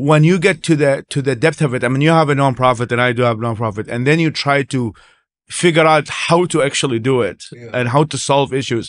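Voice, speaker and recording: Against a quiet background, a man with an Arabic accent talks at a very fast pace and a medium pitch, with ordinary pitch variation and a dry sound with no echo. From Iraq. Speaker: human rights activist. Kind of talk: casual chat. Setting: conference. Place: studio. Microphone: studio mic.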